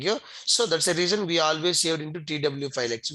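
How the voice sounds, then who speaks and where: A man with a fairly high, bright, sharp voice speaks at a very fast pace. His pitch varies in an ordinary way. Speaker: software trainer. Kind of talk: tutorial.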